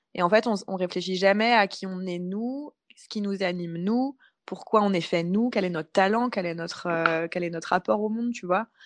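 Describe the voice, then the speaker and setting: Against a quiet background, a woman with an unremarkable speaking voice talks at a moderate pace and medium pitch, with ordinary pitch variation. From France, Paris. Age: 30s. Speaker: freelance communications consultant and coach. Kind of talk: casual interview chat.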